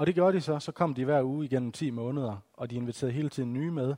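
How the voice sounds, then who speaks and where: A man speaks at a very fast pace. His tone is dark and mellow, with ordinary pitch variation. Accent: West Jutland. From West Jutland, Denmark. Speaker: evangelist and teacher. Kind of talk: talk to a church gathering. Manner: halting, many fillers.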